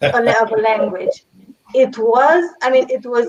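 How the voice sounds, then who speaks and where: With a Romanian accent, a woman speaks in a high voice at a fairly slow pace. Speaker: language teacher and translator. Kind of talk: panel discussion.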